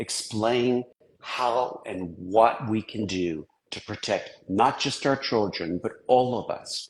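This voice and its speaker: A man talks very slowly, his medium-pitched voice showing ordinary pitch variation. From England and Switzerland. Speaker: technologist and author. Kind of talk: interview discussion.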